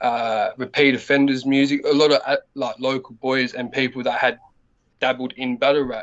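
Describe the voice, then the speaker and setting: Medium in pitch and moderate in pace, a man talks in an Australian accent with monotone, flat intonation. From Australia, Adelaide (North Side). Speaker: battle rapper. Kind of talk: casual interview.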